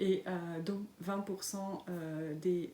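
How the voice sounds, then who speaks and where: A woman's medium-pitched voice with fairly even intonation amid noticeable background noise. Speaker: knitting and sewing podcaster. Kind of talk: casual podcast monologue. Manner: hesitant, many fillers.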